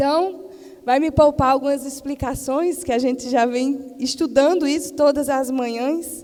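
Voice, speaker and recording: Against noticeable background noise, a woman with a Paraíba accent speaks at a fairly slow pace in a high pitch with fairly even intonation. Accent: Northeastern Brazilian (Paraíba). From Paraíba, Brazilian Northeast (Campina Grande). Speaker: missionary preacher, pastor's wife. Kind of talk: sermon. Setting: church missionary event with audience.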